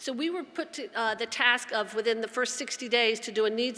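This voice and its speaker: A woman with a Southern US accent, very fast pace and ordinary pitch variation. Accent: Southern twang. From US South. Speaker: addiction organization executive. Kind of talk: conference talk. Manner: passionate.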